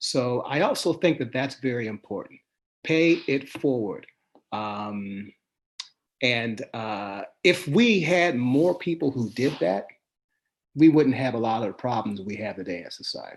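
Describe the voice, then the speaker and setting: A man with an American accent has an ordinary speaking voice at a medium pitch. He talks at a fairly slow pace with lively intonation. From Pittsburgh, Pennsylvania, US. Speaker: sports columnist. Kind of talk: interview. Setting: live stream.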